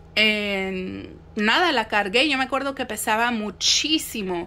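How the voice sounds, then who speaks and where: Bright, sharp tone from a woman with a Mexican accent at a fairly high pitch. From Mexico City. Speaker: spiritual content creator. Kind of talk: casual monologue vlog. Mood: calm, reflective. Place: home room. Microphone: phone near.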